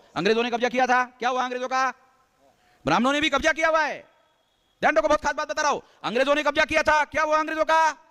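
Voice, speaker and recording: A raised, projected voice with a bright, sharp tone, dry and close with no echo. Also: man. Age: 60s. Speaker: activist organization leader. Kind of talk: political speech. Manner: emphatic, repetitive.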